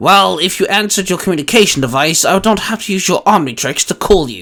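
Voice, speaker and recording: In a put-on character voice, a high-pitched man rattles along at a very fast pace. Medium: read story. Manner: formal, stating flatly.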